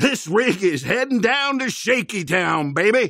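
A man's put-on character voice, high-pitched, raised and projected, with very wide pitch swings, on a very clean recording with a silent background. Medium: voice reel. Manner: excited, loud.

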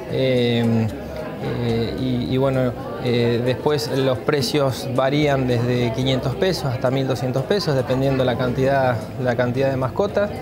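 Crowd noise fills the background. A man talks at a very slow pace. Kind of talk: interview answer. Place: hall. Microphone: lapel.

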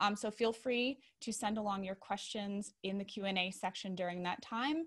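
This woman talks at a moderate pace, her pitch varying in an ordinary way. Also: quiet background. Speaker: production manager. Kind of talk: webinar host introduction. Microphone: video call.

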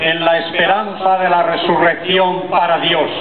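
A man at a very slow pace, over loud background noise. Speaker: bishop leading prayer. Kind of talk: read liturgical prayer. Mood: solemn devout. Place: street.

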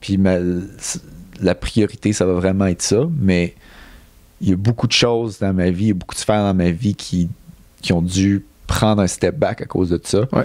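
A man with a Quebec accent speaks at a moderate pace and fairly low pitch, with fairly even intonation and long, frequent pauses. The sound is dry with no echo, over a quiet background. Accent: Québécois French. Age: 30s. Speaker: Olympic middle-distance runner; guest. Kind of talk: casual interview. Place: studio. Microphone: handheld.

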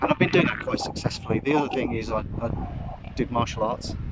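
The man's voice sounds dry with no echo, though the background noise is loud. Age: 50s. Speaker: vlogger. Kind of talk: casual vlog monologue. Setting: outdoors. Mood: candid, personal. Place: beach. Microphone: phone near.

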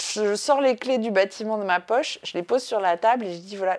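Ordinary pitch variation runs through the speech. It moves at a moderate pace. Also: woman. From France. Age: 30s. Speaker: art foundation founder; interviewee. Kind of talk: interview monologue; interview answer. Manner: hesitant, many fillers. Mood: calm, reflective storytelling. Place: home room.

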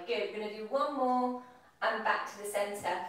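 A woman's voice in strong room echo. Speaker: fitness instructor. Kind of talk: exercise class instruction. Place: kitchen. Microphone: camera far.

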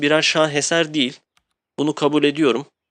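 With an unremarkable speaking voice, a man talks at a moderate pace and a fairly high pitch over a quiet background. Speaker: gaming youtuber. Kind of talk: game review monologue. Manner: casual.

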